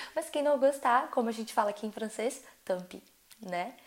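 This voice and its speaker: Her intonation lively and her pitch fairly high, a woman speaks at a moderate pace. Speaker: podcast host, artist. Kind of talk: reflective solo monologue. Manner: conversational, many fillers.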